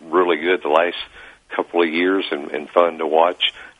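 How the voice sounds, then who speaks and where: A man's very deep, low voice at a moderate pace, with noticeable background noise. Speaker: sports columnist guest. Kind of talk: casual sports talk interview.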